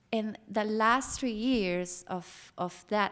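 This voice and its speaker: Someone with a Costa Rican accent speaks at a very slow pace with fairly even intonation, on a very clean recording with a silent background. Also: woman. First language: Spanish. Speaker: former family psychotherapist, panelist. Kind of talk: panel talk, personal testimony. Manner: hesitant, with fillers and repetitions.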